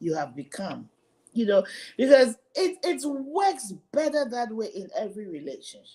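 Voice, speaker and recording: A woman with an American accent speaks in a high pitch with a dark, mellow tone. Her pitch swings very widely and her loudness rises and falls greatly. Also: moderate pace. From Ghana. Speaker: home care company founder and wellness show co-host. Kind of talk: live-streamed wellness discussion.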